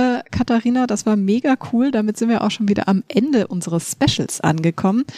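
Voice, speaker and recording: Fairly high-pitched woman's voice, dark and mellow in tone, with lively intonation at a moderate pace, in a dry, close sound with no echo. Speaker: podcast host.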